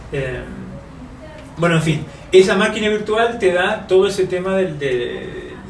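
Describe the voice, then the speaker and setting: With clear room echo and noticeable noise in the background, a man speaks with pitch that rises and falls in an ordinary way. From Uruguay. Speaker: software developer and author. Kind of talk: technical interview.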